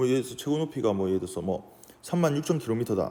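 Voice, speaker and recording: Very fast and dark, mellow in tone, a man's voice swings very widely in pitch. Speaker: physics teacher. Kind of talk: lecture. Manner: halting.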